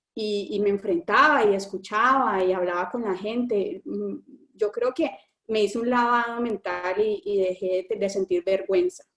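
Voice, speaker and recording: This woman speaks with a medium pitch and ordinary pitch variation. Her pace is moderate. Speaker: engineer describing work abroad. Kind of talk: panel interview on live stream. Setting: online live stream. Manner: halting, many repetitions and fillers.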